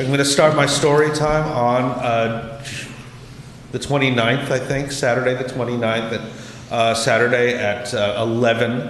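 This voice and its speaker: A man at medium pitch and a moderate pace, fairly even in intonation, with audible room echo and noticeable background noise. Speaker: librarian. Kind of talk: public meeting report. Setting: city council meeting.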